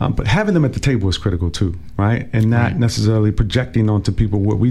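A man with an American accent speaks at a very fast pace. His fairly low voice has ordinary pitch variation, with noticeable background noise. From Washington, DC. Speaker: city councilmember. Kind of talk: casual interview. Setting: radio studio.

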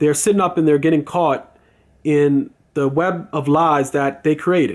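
A man with an unremarkable speaking voice talks at a fairly high pitch with fairly even intonation, on a very clean recording with a silent background. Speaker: video blogger. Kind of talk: angry rant. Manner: indignant, opinionated; rambling, filler-heavy.

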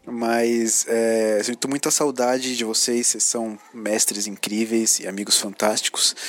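Against noticeable background noise, a man at medium pitch speaks fairly slowly in a flat monotone with hardly any pauses. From São Paulo, Brazil. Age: 30s. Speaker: podcast listener. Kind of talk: recorded voice message. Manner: halting, many fillers.

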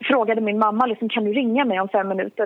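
A woman with a normal speaking voice talks at a fairly high pitch, keeping her intonation fairly even. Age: 20s. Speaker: mental health speaker. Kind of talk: interview. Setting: phone call.

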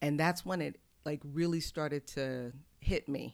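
An American accent marks this woman's speech. Her intonation is fairly even, and the recording is very clean with a silent background. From Houston, Texas. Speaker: abstract painter. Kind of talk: interview conversation. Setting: in-person recording.

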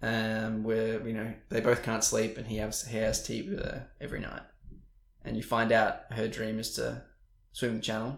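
Vocal fry marks this man's monotone, flat intonation as he speaks at a moderate pace. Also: medium pitch for a man. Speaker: podcast co-host. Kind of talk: casual chat.

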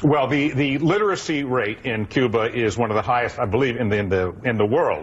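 Pitch varying in an ordinary way around a medium level, a man talks in a plain, everyday voice. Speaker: caller. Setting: phone call.

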